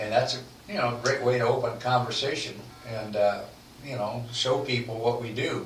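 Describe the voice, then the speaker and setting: Noticeable background noise sits behind a man with a medium pitch. He talks at a moderate pace with fairly even intonation. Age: 80s+. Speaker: legal services sales representative. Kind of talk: radio podcast interview answer.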